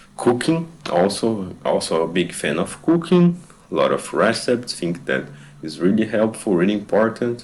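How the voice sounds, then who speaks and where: Noticeable background noise accompanies a man whose pitch swings very widely as he speaks at a moderate pace. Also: medium pitch for a man. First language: not English. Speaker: fitness vlogger. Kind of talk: voiceover narration of own stretching routine. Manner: halting, with hesitations and repeated words. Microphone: bad microphone.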